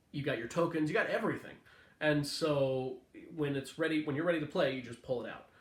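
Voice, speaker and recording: In a room with audible echo, a man talks at a fairly quick pace with a fairly high pitch and ordinary variation. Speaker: board game reviewer. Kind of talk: product review video. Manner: fast.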